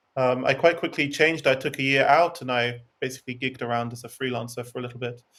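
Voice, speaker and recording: A man talks at a very fast pace with an English accent. His pitch is medium and his intonation fairly even. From England. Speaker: singer and music theory expert. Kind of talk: interview.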